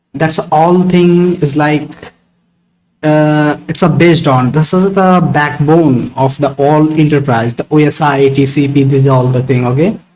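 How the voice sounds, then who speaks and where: With an Indian accent, a man speaks at a fairly slow pace in very even loudness and fairly even intonation. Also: fairly high pitch for a man. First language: Hindi. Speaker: networking instructor. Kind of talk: live online class discussion. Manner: halting, many fillers.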